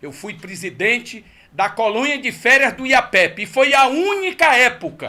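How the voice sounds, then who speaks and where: A man speaks in an extremely high, bright and sharp voice, raised and projected, at a fairly slow pace with very wide swings in pitch. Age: 60s. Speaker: political candidate. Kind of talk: radio interview. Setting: radio studio.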